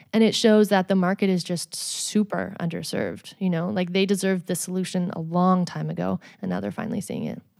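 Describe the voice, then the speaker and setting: With a Canadian accent and a normal speaking voice, a woman talks at a fairly quick pace and medium pitch, her intonation fairly even and with hardly any pauses. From Edmonton, Alberta, Canada. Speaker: startup founder and CEO, former dancer. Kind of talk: interview conversation.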